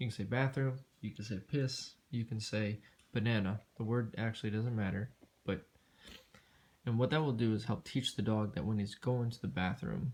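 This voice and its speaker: At a moderate pace, a man with an ordinary speaking voice talks in a medium pitch with ordinary pitch variation. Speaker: dog trainer. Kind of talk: tutorial. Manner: casual, filler-heavy speech.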